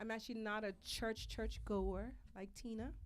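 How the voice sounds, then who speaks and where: Speaking with an American accent, a woman keeps a moderate pace. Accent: sounds American. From Bermuda. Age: 40s. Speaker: singer-songwriter. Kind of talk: casual interview chat. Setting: live podcast on Facebook.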